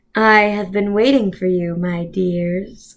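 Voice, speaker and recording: In a put-on character voice, a woman speaks quietly at a medium pitch and fairly slow pace, with fairly even intonation. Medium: read story. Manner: soothing, falsely kind, quietly menacing.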